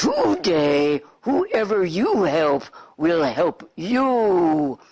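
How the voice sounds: A put-on character voice at middle pitch, delivered at a very slow pace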